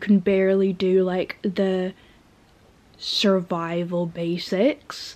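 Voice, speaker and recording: The woman's voice has a medium pitch. She speaks at a very slow pace. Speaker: vlogger. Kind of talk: casual vlog talk. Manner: hesitant, many fillers.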